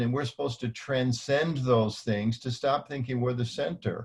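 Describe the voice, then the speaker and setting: There's a somewhat breathy quality to this man's voice. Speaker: panelist, religious community manager. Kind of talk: panel discussion. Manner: fast.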